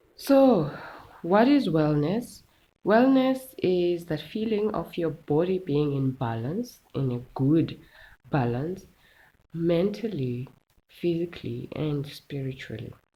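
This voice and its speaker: A woman speaks at a very slow pace in a dark, mellow tone with very wide pitch swings. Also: fairly low pitch for a woman. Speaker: wellness content creator. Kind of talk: casual tutorial talk.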